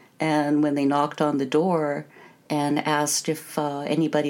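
The speaker has an American accent and a moderate pace. The intonation is monotone and flat. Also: woman. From US Pacific Northwest. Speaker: confectioner. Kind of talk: interview.

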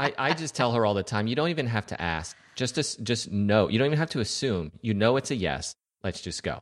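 Against a quiet background, a man uses a plain, everyday voice at a medium pitch with lively intonation. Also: fairly quick pace. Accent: American. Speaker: podcast co-panelist. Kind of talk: casual chat.

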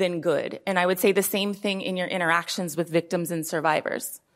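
Recorded very cleanly against a silent background, a woman with a plain, everyday voice and an American accent speaks at medium pitch and a moderate pace with fairly even intonation. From US West Coast, Oakland, California. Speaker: former police officer, gender-based violence expert. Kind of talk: panel discussion. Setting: stage with live audience.

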